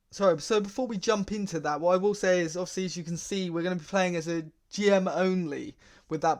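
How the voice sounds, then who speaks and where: A man with an English accent talks at a very fast pace. His pitch is high, and the background is quiet. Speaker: gaming YouTuber. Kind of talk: gameplay commentary. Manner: casual, lots of fillers.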